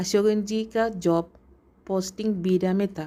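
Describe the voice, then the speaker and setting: The speaker has a Malayalam accent and a dark, mellow tone. Intonation stays fairly even on a very clean recording with a silent background. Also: woman. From Kerala, India (Thrissur). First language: Malayalam (speaking Hindi). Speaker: entrepreneur. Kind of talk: scripted narration.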